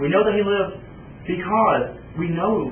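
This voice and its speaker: The man's speech carries audible room echo along with noticeable background noise. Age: 20s. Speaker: archaeology student. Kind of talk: video presentation.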